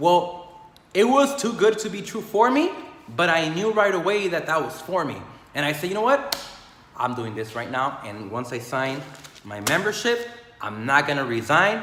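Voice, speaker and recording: A man's passionate, energetic tone, high in pitch with very wide pitch swings, at a moderate pace amid noticeable background noise. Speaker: health and business motivational speaker. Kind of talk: casual motivational talk to camera.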